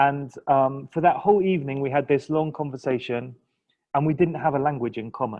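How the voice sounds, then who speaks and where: Speaking fairly quickly with an English accent, a man uses a fairly high pitch with ordinary pitch variation. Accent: English accent, noticeable to locals. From England. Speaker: linguistics lecturer. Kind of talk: interview. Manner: hesitant, many fillers.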